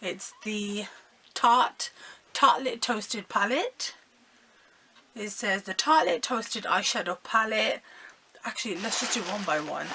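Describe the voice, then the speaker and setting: Long, frequent pauses break up the fairly slow delivery, with noticeable background noise throughout. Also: woman, fairly high pitch for a woman, ordinary pitch variation, big swings in loudness. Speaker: beauty vlogger. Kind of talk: unboxing haul video. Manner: animated.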